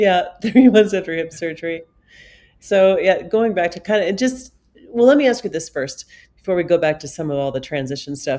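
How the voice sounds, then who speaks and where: Her intonation lively and her pace moderate, a woman talks in an ordinary speaking voice at a medium pitch. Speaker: podcast host and TV broadcaster. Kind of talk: podcast interview host.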